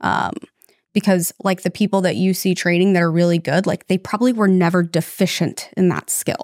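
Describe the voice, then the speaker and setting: This woman has a plain, everyday voice at medium pitch, talking at a fairly quick pace with fairly even intonation. The recording is very clean with a silent background and a dry, close sound with no echo. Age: 30s. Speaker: police officer and former lawyer. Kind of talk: casual interview chat.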